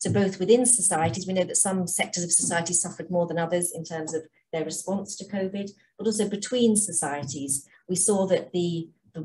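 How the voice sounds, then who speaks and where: Speaking fairly quickly with an English accent, a woman uses a fairly low pitch and ordinary pitch variation. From England. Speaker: health charity programme director. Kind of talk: conference presentation.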